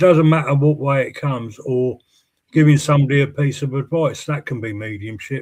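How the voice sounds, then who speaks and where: Speaking fairly quickly, a man has a fairly high, somewhat breathy voice with ordinary pitch variation. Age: 60s. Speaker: spiritualist medium, show host. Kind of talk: casual chat.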